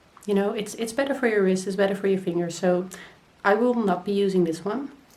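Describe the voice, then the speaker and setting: Speaking very fast in a Dutch accent, a woman with a medium pitch and ordinary pitch variation is heard with audible room echo and noticeable background noise. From Netherlands. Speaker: crochet vlogger. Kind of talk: casual vlog.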